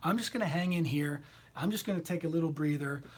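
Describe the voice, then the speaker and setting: A man speaks at a fairly quick pace in a fairly high, animated voice with lively intonation, over noticeable background noise. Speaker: tarot reader. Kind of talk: livestream chat. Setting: live video stream.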